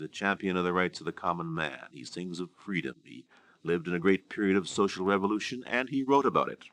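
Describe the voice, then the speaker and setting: With lively intonation and vocal fry, a man talks at a fairly quick pace in a very deep, low pitch, the sound dry and close with no echo. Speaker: narrator. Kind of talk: documentary narration.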